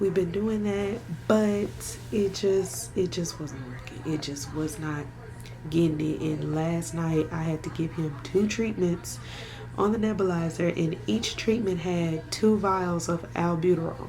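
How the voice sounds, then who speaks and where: Amid music in the background and audible room echo, a woman speaks quietly at a fairly slow pace, using a fairly low pitch and ordinary pitch variation. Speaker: vlogger and doula. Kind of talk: casual vlog talk to camera. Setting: at home. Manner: speaking quietly.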